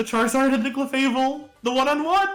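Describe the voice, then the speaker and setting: The speaking goes at a moderate pace. Music plays in the background. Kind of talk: live game commentary, excited.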